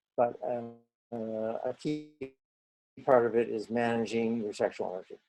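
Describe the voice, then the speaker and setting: In a dark, mellow tone, a man speaks at a fairly slow pace with medium pitch and fairly even intonation. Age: 60s. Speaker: Taoist teacher. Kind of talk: interview. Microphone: poor internet connection, audio skips.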